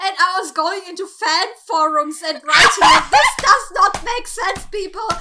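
Over noticeable background noise, a woman with a German accent speaks at an extremely high pitch in a raised, projected voice, with lively intonation, a fairly slow pace and hardly any pauses. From Germany. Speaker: guest, podcast listener. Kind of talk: casual chat. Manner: nervous.

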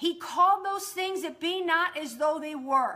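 Her voice raised and projected, a woman speaks at a moderate pace in a bright, sharp tone with ordinary pitch variation, on a very clean recording with a silent background. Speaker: podcast host and prayer teacher. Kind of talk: charismatic Bible teaching and fervent exhortation to believe. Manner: emphatic, insistent repetition building preacher-like momentum; animated, enthusiastic.

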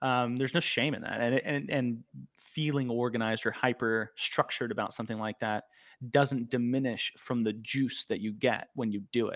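This man speaks at a moderate pace and medium pitch in a plain, everyday voice, with fairly even intonation and a dry, close sound with no echo. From Arizona, US. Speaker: guest, recovering addict. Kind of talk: casual chat. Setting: video call.

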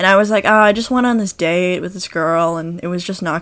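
Fairly low in pitch, a woman speaks at a moderate pace with ordinary pitch variation. Hers is a plain, everyday voice. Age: young. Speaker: podcast co-host, university student. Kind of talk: casual chat.

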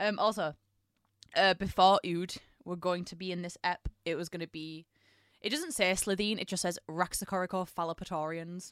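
Recorded with a dry, close sound and no echo, a woman speaks in an unremarkable speaking voice at medium pitch and a moderate pace, with fairly even intonation. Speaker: podcast co-host. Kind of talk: casual chat.

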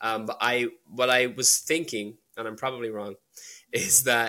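A man with an Irish accent speaks at a medium pitch and a fairly slow pace, his tone bright and sharp. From Ireland. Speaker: indie film director. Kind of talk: casual analytical discussion of a film.

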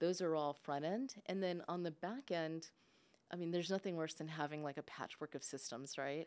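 Her pitch fairly low, a woman speaks at a moderate pace with ordinary pitch variation. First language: English and Spanish. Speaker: insurance sales leader. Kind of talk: casual interview.

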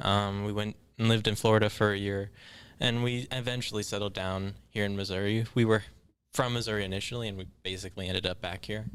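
On a very clean recording with a silent background, a man speaks very fast in a fairly low pitch with monotone, flat intonation. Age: 20s. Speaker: psychology student. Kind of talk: casual chat.

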